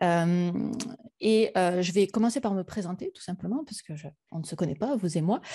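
At a moderate pace, a woman with a dark, mellow tone speaks with ordinary pitch variation against a quiet background. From France. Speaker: science communicator and YouTuber; YouTuber. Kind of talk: conference talk. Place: home room.

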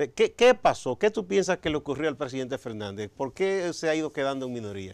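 A man's fairly high voice at a very fast pace, with very wide pitch swings, over a quiet background. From Dominican Republic. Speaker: TV interviewer. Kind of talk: interview. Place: studio. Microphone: lapel.

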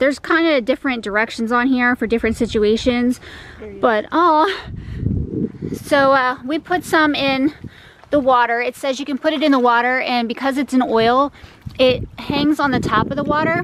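A woman with a high pitch and ordinary pitch variation talks at a moderate pace with long, frequent pauses. The sound is dry with no echo, though noticeable background noise is present. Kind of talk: casual vlog chat. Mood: mildly worried, hopeful. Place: garden. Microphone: phone near.

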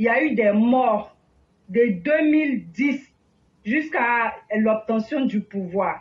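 A woman's fairly high voice with ordinary pitch variation. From Ivory Coast, Daloa. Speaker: political activist. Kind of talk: impassioned testimony. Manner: animated.

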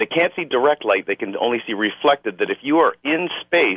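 Man with lively intonation, dry sound with no echo and a quiet background. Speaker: radio call-in listener. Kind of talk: caller question on talk radio. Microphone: phone line.

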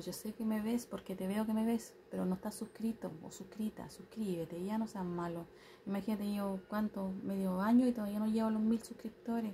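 A soft-spoken, somewhat breathy woman at medium pitch speaks in a dark, mellow tone with fairly even intonation over light background noise. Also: hardly any pauses. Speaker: vlogger, tarot reader. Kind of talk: casual vlog monologue. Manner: soft-spoken, quiet. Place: home room. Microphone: phone near.

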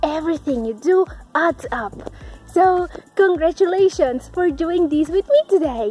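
A woman speaking at a fairly slow pace, faint music in the background, dry sound with no echo. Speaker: fitness vlogger. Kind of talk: casual vlog chat. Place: garden. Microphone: phone near.

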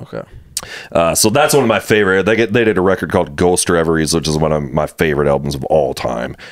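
Against a quiet background, someone talks at a very fast pace with lively intonation. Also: man, very deep, low pitch for a man. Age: 40s. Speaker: podcast host. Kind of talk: casual chat. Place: home room. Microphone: studio mic.

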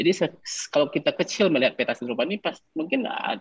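Over a quiet background, a man speaks at a fairly quick pace with very wide pitch swings. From West Sumatra, Padang Panjang; West Sumatra, Indonesia. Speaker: painter; guest. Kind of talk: casual chat. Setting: video call. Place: home room. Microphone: video call.

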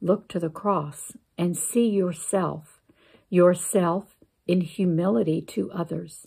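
Over a quiet background, a woman with a fairly low pitch and a dark, mellow, somewhat breathy voice speaks in a soothing, calm tone at a very slow pace with ordinary pitch variation. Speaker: church member reading a Lenten meditation. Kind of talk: guided meditation and closing prayer. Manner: slow, calm, reverent, gentle pacing with pauses; earnest, prayerful, soothing. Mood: calm, reverent.

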